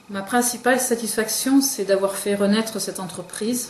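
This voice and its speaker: Heard with audible room echo and noticeable background noise, a woman speaks at a fairly slow pace with ordinary pitch variation. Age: 50s. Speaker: business owner. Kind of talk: interview testimony. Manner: hesitant, many fillers.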